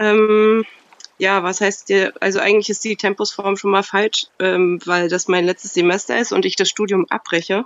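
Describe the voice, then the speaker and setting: Her voice is an unremarkable speaking voice, medium in pitch for a woman, delivered fairly slowly with fairly even intonation. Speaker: caller.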